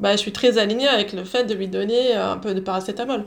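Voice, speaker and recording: This woman has a fairly high pitch and ordinary pitch variation. Her pace is moderate. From southern France (Belgian Flemish roots). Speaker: homeopathic doctor. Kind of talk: interview. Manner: halting, many repetitions.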